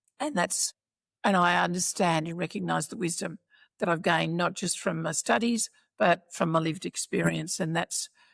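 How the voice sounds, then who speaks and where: A woman with an Australian accent speaks at a moderate pace, fairly low in pitch with vocal fry. The recording is very clean, with a silent background. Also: ordinary pitch variation, dry, close sound with no echo. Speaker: former minister and professional speaker. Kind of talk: interview.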